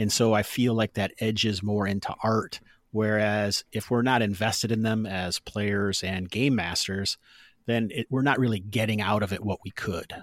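In a plain, everyday voice, a man with an American accent talks at a moderate pace, fairly low-pitched with fairly even intonation, the sound dry and close with no echo in a very clean recording over a silent background. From US Midwest. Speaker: tabletop RPG podcaster and game master. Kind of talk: casual interview chat about games.

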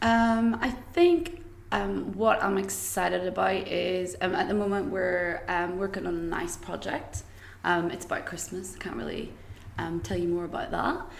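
A woman with a Northern Irish accent at a fairly slow pace, with audible room echo and noticeable background noise. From Northern Ireland, County Tyrone. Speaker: creative agency employee. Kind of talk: casual chat.

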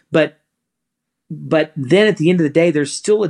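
A man with an ordinary speaking voice talks at a moderate pace with ordinary pitch variation, and the sound is dry and close with no echo. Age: 30s. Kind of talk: casual interview. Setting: video call.

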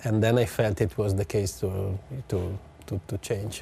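Speaking with an Italian accent, a man uses a fairly low pitch and fairly even intonation. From Italy. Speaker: motorsport team executive. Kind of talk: interview. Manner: halting.

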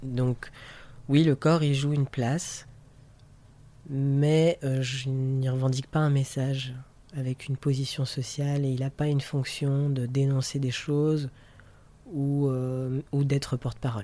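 A man speaks very slowly with a dark, mellow tone and long, frequent pauses. His pitch is fairly high but flat and monotone. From France. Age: 30s. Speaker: artist and activist. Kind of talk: interview. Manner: halting.

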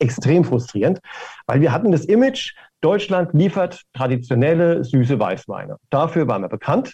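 A man speaks with a dark, mellow tone that is somewhat breathy. His pitch swings very widely. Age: 60s. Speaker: wine marketing executive. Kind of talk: interview.

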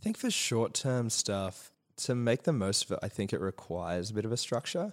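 A man speaks at a moderate pace with lively intonation and big swings in loudness. The recording is very clean, with a silent background. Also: medium pitch for a man. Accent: Australian. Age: 20s. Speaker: youth mental health worker and performer. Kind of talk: casual chat.

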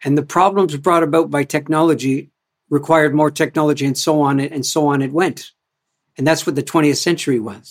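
With a Canadian accent, a man talks at a moderate pace in a plain, everyday voice with fairly high pitch. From Canada. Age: 60s. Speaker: culture activist and author. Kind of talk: interview conversation. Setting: video call.

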